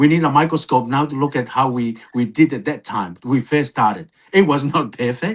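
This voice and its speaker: A man with a non-native accent, fairly high pitch, ordinary pitch variation, a moderate pace and hardly any pauses. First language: not English. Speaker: podcast co-presenter. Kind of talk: podcast conversation. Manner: halting.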